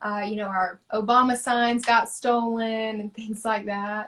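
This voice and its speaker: A normal speaking voice with an American accent, moderate pace and fairly even intonation. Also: woman. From US South, rural. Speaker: artist. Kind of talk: interview.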